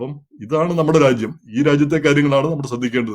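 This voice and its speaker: A man's voice with fairly even intonation. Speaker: commentary show host. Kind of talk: monologue commentary. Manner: halting.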